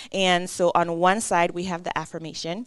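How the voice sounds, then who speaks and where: A woman with a French accent, medium in pitch, at a moderate pace. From Caribbean. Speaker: artist and small business owner. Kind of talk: interview.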